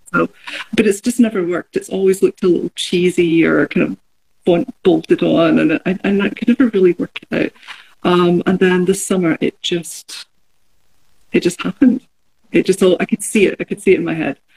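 Dry, close sound with no echo, a woman's medium-pitched voice with vocal fry, ordinary pitch variation and a moderate pace. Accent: Glaswegian. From Scotland, Glasgow. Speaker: artist. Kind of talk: casual chat. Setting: video call from studio.

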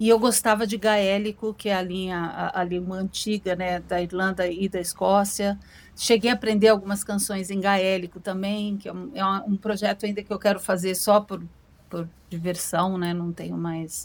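On a very clean recording with a silent background, a woman speaks at medium pitch and a moderate pace with monotone, flat intonation. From Brazil. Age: 50s. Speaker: singer. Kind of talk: interview. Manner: halting.

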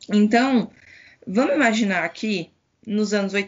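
A woman speaks at a medium pitch. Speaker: Palestinian youth activist. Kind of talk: interview.

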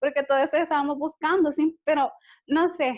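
Fairly even intonation from a woman with a high voice at a moderate pace. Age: 20s. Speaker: university student and dog owner. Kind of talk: casual interview chat.

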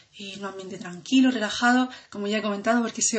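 A woman's voice amid noticeable background noise. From Andalusia, Granada. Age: 20s. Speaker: student. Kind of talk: self-introduction podcast. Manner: hesitant with fillers.

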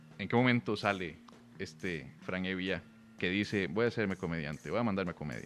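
At a fairly quick pace, a man talks in a very deep, low pitch with vocal fry and ordinary pitch variation. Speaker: podcast host and comedian. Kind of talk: casual chat. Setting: hotel room.

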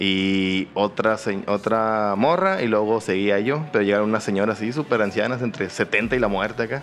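Fairly low-pitched, a man talks with a Mexican accent and ordinary pitch variation. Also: moderate pace. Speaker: podcast co-host. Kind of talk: casual chat.

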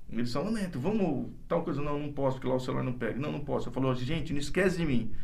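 A man's fairly high, very fast voice with vocal fry and audible room echo. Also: ordinary pitch variation. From interior of São Paulo state, Brazil. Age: 50s. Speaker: doctor. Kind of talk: interview conversation.

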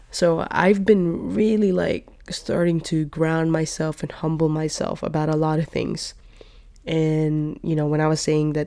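A very deep, low-pitched woman's voice with a dark, mellow tone on a very clean recording against a silent background. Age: 20s. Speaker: podcast host. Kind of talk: solo monologue, casual life update. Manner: rambling, casual with fillers.

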